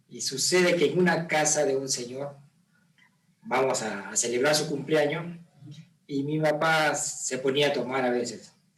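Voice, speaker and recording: Audible room echo surrounds a man's calm voice. His pitch sits fairly high, with ordinary variation. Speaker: father of the host. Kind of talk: casual chat. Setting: on camera.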